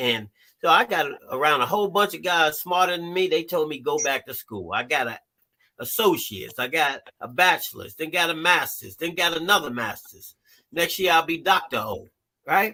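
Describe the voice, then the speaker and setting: Here a man with a high pitch talks in an animated tone at a moderate pace, with ordinary pitch variation. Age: 60s. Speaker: therapist and life coach, ex-felon. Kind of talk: live stream talk show interview. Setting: live stream.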